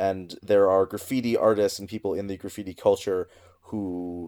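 A man with an American accent talks at a moderate pace in a normal speaking voice, with ordinary pitch variation and a dry, close sound with no echo. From US Midwest. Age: 30s. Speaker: theater director and trivia host. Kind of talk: casual chat. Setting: remote recording from home.

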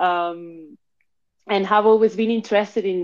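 Against a quiet background, a woman speaks with a Spanish accent and fairly even intonation. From Spain (Madrid), born in Argentina. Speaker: NFT platform founder and curator. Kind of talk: casual chat. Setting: live audio room.

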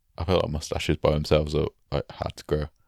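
A man speaks very fast in a very deep, low voice. The recording is very clean and dry, close and echo-free, with a silent background. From northern England. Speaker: podcast co-host and musician/comedian. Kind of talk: casual chat. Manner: joking, banter.

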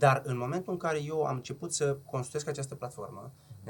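A somewhat breathy voice at a fairly quick pace with ordinary pitch variation. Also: man. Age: 30s. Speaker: entrepreneur, restaurant chain founder. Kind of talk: casual chat. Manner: fast.

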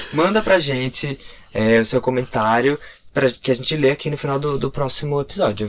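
This is an unremarkable speaking voice with ordinary pitch variation. It moves at a fairly quick pace. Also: man, fairly high pitch for a man. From Curitiba, Brazil. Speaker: podcast co-host, graphic designer. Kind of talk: casual chat.

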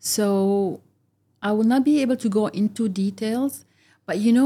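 On a very clean recording with a silent background, a woman with a dark, mellow tone sounds somewhat breathy, her intonation fairly even. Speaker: podcast guest, office professional. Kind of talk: casual interview chat. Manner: halting.

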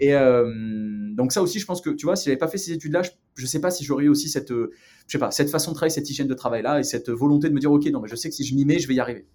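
Here a man talks at a very fast pace in a fairly high pitch. Music plays in the background. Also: ordinary pitch variation. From southern France, near Marseille and Aix-en-Provence. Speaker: entrepreneur. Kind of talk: casual interview.

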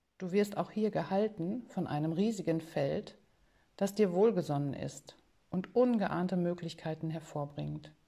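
With a calm, soothing and dark, mellow tone, a woman at a fairly low pitch speaks at a fairly slow pace with ordinary pitch variation. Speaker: podcast host and meditation guide. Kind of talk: guided meditation; casual podcast monologue. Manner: slow, calm, soothing, gently paced with pauses.

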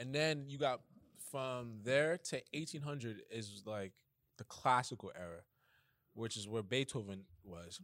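A man with a New York accent at a medium pitch, fairly slow pace, long, frequent pauses, lively intonation and big swings in loudness. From Bronx, New York. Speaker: pianist. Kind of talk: casual chat.

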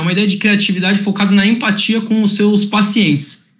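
A man's high-pitched voice. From Santos, São Paulo coast, Brazil. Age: 20s. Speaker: corporate innovation presenter. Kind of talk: online workshop presentation.

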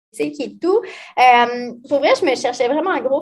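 With lively intonation, a woman speaks in a high pitch with a Quebec accent. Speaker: financial advisor. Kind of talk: casual interview.

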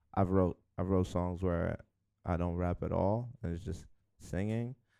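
With a New York accent, a man speaks in a very deep, low voice with a dark, mellow tone and ordinary pitch variation. He talks very slowly with long, frequent pauses on a very clean recording with a silent background. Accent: New York (Bronx). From New York City, the Bronx (Hunts Point). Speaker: rapper. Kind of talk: interview. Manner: halting, many fillers.

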